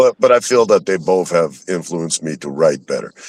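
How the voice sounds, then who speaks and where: With ordinary pitch variation, a man talks at a fairly quick pace in a dry, close sound with no echo. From Russia. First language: Russian. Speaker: rapper and record label co-founder. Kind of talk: interview. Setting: live stream. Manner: casual, profane.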